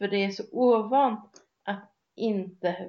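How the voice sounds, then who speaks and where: A woman does the talking. The variation in her pitch is ordinary. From Sweden. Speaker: podcast co-host. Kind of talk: casual discussion.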